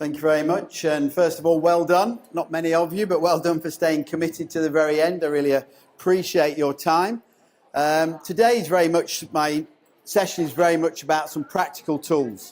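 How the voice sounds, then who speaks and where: The speaker is a man. His pitch is fairly high and his intonation fairly even. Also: moderate pace. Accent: strong English. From England. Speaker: education consultant, former school principal. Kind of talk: conference presentation. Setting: stage with audience.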